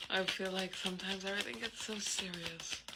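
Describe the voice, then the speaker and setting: Amid noticeable background noise and audible room echo, a woman with a medium pitch talks at a moderate pace. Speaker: tarot reader. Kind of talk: casual tarot reading monologue. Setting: apartment at night. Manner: hesitant, filler-heavy.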